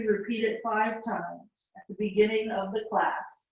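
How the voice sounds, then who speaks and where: A somewhat breathy woman's voice, fairly high in pitch, at a fairly slow pace. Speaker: yoga teacher. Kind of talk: guided yoga class. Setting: small home room. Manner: instructional, breath-paced cues.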